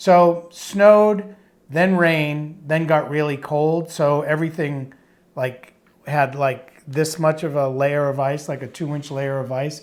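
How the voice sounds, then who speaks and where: With a Boston accent, a man talks at a fairly slow pace, his fairly high pitch carried in fairly even intonation. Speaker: podcast co-host. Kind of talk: casual chat. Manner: halting.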